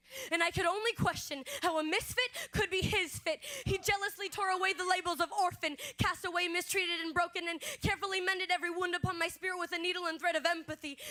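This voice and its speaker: A woman speaks very fast in a raised, projected voice with an extremely high pitch. Her tone is bright and sharp, and her intonation is fairly even. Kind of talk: spoken word poetry performance. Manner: expressive, rhythmic.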